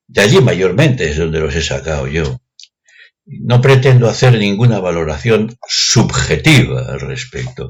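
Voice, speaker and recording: Very wide pitch swings mark speech that unfolds at a fairly slow pace. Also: man, very deep, low pitch for a man. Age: 60s. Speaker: retired math teacher. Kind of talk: opinion monologue.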